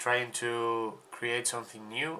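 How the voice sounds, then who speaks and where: A man with a bright, sharp tone, medium pitch and a very slow pace. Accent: Spanish. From Spain. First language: Spanish. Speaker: podcast co-host, sportswear brand founder. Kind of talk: casual podcast chat. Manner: halting, repetitive stumbles.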